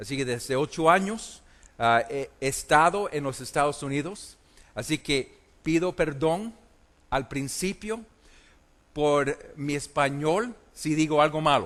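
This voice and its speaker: Over a quiet background, a man speaks at a very slow pace with long, frequent pauses, a fairly high pitch and ordinary pitch variation. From Puerto Rico, then US from age eight. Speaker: preacher. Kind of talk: conference sermon. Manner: hesitant, many fillers.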